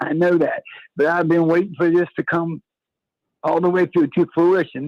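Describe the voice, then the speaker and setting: In a dry, close sound with no echo, a man with a plain, everyday voice talks at a fairly high pitch and a fairly quick pace. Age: 60s. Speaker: caller. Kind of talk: call-in radio. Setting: phone call.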